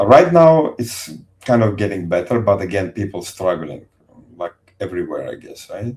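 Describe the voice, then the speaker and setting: A man's speech is somewhat breathy and carries ordinary pitch variation. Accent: non-native. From Azerbaijan. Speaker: engineer, ex-Soviet soldier. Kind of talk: podcast interview. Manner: halting.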